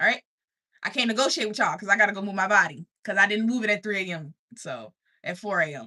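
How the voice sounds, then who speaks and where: A woman's bright, sharp voice at a medium pitch, with a slight country accent, animated and lively in intonation, very fast, with big swings in loudness and a dry, close sound with no echo. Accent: slight country twang. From US South, Richmond, Virginia. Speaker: life coach streamer. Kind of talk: motivational livestream talk. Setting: livestream.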